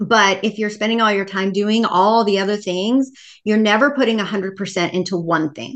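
With a normal speaking voice, a woman of medium pitch speaks at a moderate pace and with fairly even intonation. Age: 50s. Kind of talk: casual interview.

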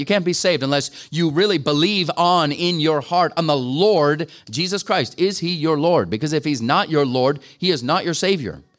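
A man's unremarkable speaking voice, fairly high in pitch, at a fairly quick pace. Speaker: guest preacher. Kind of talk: sermon. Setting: church gathering with audience.

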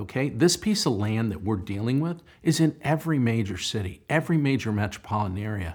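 Here a man talks at a moderate pace with a medium pitch. His voice is somewhat breathy, with very wide pitch swings. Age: 60s. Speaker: real estate developer. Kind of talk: interview.

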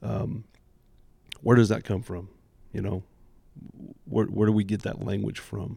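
His tone dark and mellow with vocal fry, a man with an American accent speaks at a fairly low pitch. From US Midwest, Indianapolis. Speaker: church drummer and youth ministry volunteer. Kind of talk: casual roundtable chat.

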